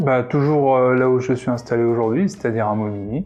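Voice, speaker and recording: A man's voice with music in the background. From Réunion. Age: 30s. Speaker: web developer. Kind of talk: interview answers. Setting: coworking space. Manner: hesitant, many fillers.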